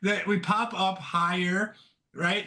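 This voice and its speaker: A bright, sharp voice comes through loud, with fairly even intonation. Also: man. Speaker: stock trader. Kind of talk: casual chat. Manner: halting.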